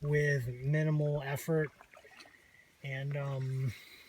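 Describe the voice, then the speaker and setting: Speaking at a very slow pace, a man keeps a monotone, flat intonation. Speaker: outdoor vlogger. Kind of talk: casual vlog narration. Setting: outdoors in a canoe on a creek. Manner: loud; hesitant, many fillers.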